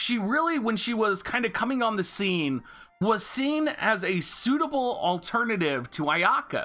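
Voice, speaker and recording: The voice moves at a moderate pace with very wide pitch swings. Music plays in the background. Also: woman, fairly high pitch for a woman. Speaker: gaming YouTuber. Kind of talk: casual commentary.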